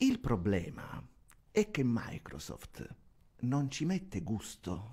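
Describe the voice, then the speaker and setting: A man speaks very slowly in a somewhat breathy, medium-pitched voice, his pitch swinging very widely against a quiet background. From Sicily. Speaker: radio host and DJ; guest. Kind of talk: TV interview; interview answer. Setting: TV studio. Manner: halting, repeats words. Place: studio. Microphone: studio mic.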